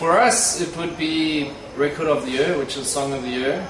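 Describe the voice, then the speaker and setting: With noticeable background noise behind him, the man keeps a moderate pace and his pitch varies in an ordinary way. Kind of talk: interview answer. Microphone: camera far.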